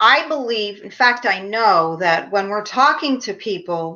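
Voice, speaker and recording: A woman talks with a Philadelphia accent. Her pace is fairly slow. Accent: Philadelphia American. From US Northeast, Philadelphia. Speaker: leadership trainer and professor. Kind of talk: interview.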